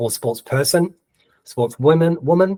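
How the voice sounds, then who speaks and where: Ordinary pitch variation colors the speech of a man with a New Zealand accent. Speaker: webinar presenter on AI blogging. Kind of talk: tutorial. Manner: dictating prompts aloud with spoken punctuation.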